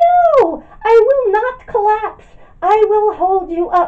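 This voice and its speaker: Pitched extremely high, a woman performs a put-on character voice. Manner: stern, defiant.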